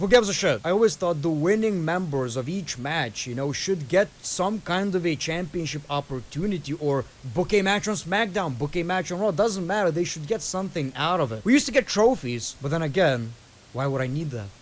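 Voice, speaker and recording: A man speaks at a fairly quick pace in a high pitch, with lively intonation and an animated tone. Noticeable background noise runs underneath. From Lithuania. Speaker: wrestling reaction youtuber. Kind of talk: casual reaction commentary.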